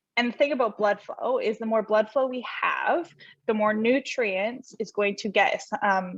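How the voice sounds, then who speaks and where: A woman speaks in a normal speaking voice, her pitch fairly high and her intonation lively. The pace is moderate, and the sound is dry and close with no echo. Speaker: holistic nutritionist. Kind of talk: presentation.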